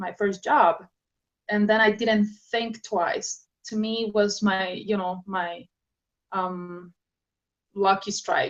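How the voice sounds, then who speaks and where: In a Spanish accent, a woman speaks at medium pitch with fairly even intonation. Her pace is very slow, with long, frequent pauses. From South America, Andes highlands. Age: young. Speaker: author and speaker. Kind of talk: interview. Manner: halting.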